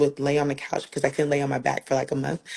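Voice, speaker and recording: With a very deep, low pitch, a woman speaks in a monotone, flat intonation. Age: 40s. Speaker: breast cancer survivor sharing testimony. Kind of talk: testimony. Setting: live video stream. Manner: casual, conversational.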